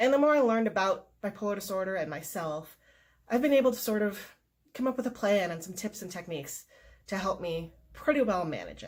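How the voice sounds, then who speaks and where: A woman's somewhat breathy voice moves with lively intonation and big swings in loudness. The recording is very clean, with a silent background. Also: medium pitch for a woman, fairly quick pace. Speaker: mental health vlogger. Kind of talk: personal vlog talk. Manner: hesitant fillers.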